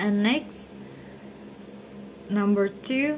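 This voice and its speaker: Noticeable background noise behind a very slow woman's voice, medium in pitch, its pitch varying in an ordinary way. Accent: Indonesian. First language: Indonesian. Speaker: university student. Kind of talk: class presentation. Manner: hesitant.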